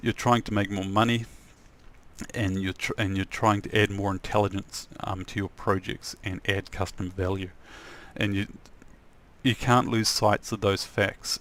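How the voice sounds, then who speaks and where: A soft-spoken man talks in a New Zealand accent at a fairly low pitch and moderate pace. His intonation is monotone and flat, with long, frequent pauses. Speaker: software developer and trainer. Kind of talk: tutorial. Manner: halting.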